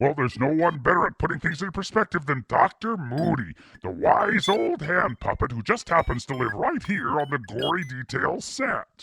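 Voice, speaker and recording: A man does a cartoonish character voice with a fairly high pitch. He keeps a moderate pace and hardly pauses. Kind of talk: kids show host parody. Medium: puppet.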